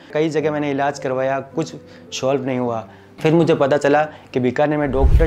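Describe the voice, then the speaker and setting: Over music in the background, a man talks at a moderate pace. His voice is fairly high, with fairly even intonation. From Rajasthan, Bikaner. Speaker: patient giving testimonial. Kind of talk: testimony.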